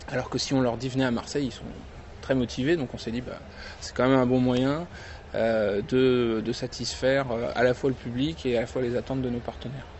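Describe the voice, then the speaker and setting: Speaking at a fairly quick pace yet with long, frequent pauses, a man keeps a medium pitch and fairly even intonation. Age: 30s. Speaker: convention founder. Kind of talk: interview. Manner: hesitant, many fillers.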